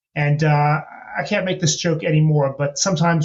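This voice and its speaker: A man with an American accent talks at a fairly quick pace. His voice is somewhat breathy and fairly high in pitch. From US. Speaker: venture capital investor. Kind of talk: podcast interview.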